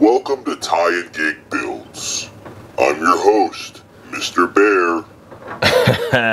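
A man's put-on character voice at a very slow pace, with light background noise. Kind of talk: video intro in character. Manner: sinister, commanding.

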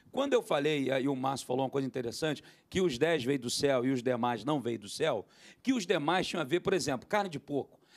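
Against a quiet background, the speaker talks at a fairly quick pace with ordinary pitch variation. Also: man, fairly high pitch for a man. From Brazil. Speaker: pastor and theologian; pastor. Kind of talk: panel discussion; panel discussion answer. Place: studio. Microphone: handheld.

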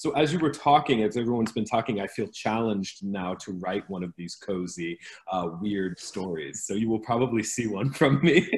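Speaking with an American accent at a moderate pace, a man with a fairly low pitch uses lively intonation and hardly any pauses. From US Midwest, Ohio. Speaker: author and teacher; teacher. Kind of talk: panel discussion. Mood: thoughtful, friendly. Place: home room. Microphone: video call.

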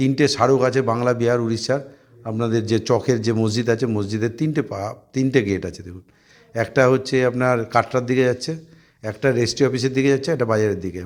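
A man talks at a medium pitch with fairly even intonation, in a normal speaking voice. The recording is very clean, with a silent background. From Murshidabad, West Bengal, India. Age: 50s. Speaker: municipal chairman. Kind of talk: press interview.

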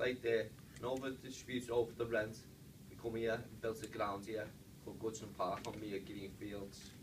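A man's medium-pitched voice at a moderate pace, fairly even in intonation, with noticeable background noise. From Liverpool, England. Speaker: stadium tour guide. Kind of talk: guided tour talk to a group. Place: meeting room. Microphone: camera far.

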